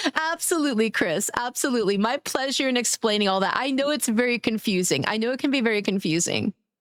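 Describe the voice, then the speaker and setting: The speech comes very fast with an American accent and hardly any pauses. Intonation is lively, loudness very even, and the sound dry and close with no echo. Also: woman, fairly high pitch for a woman. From New York City (Brooklyn), later Long Island. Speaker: streamer. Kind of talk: casual chat. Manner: laid back.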